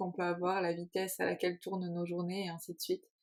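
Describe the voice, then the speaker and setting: This woman has a medium-pitched voice. Her intonation stays monotone and flat. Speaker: podcast co-host. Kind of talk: casual chat. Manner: calm.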